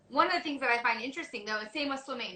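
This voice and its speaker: Raising and projecting her high-pitched voice, a woman speaks with ordinary pitch variation over noticeable background noise. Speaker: interview host. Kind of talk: casual chat.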